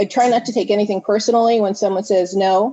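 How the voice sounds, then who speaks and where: A woman speaks at a fairly quick pace in a fairly high pitch. She has an unremarkable speaking voice. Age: 60s. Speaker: network marketing team member. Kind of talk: video call interview.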